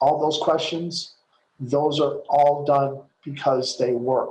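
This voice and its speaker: Somewhat breathy, monotone delivery with flat intonation at a fairly slow pace. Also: man. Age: 60s. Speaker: network marketing coach. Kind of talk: webinar training talk. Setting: video call.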